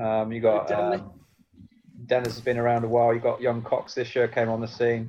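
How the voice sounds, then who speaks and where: A man with a Yorkshire accent, medium pitch, monotone, flat intonation and a fairly quick pace. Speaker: podcast host, former cricketer.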